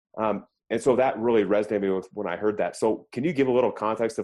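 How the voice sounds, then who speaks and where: In a General American accent, the speaker talks at a very fast pace with ordinary pitch variation. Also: man. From Colorado. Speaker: podcast host, leadership coach. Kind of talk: interview. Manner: hesitant, filler words.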